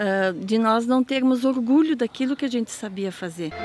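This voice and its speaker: Her voice is high. The woman speaks at a fairly slow pace. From German-descended community, Rio Grande do Sul. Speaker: folklore festival interviewee. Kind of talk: documentary interview. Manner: hesitant, many fillers.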